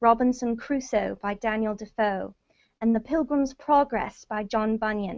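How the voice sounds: A natural reading voice with ordinary pitch variation over a quiet background.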